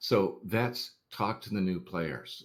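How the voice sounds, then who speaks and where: A man speaks with a very deep, low pitch, vocal fry and lively intonation. The recording is very clean, with a silent background. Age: 60s. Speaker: online game community volunteer and blogger. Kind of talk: interview. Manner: casual, conversational with fillers.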